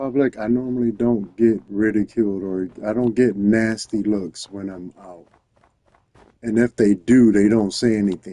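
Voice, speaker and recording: A man with an American accent has a dark, mellow tone and a fairly low pitch. He talks fairly slowly with fairly even intonation and big swings in loudness. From US East Coast. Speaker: gaming streamer. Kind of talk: casual live-stream chat while gaming. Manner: halting, many fillers.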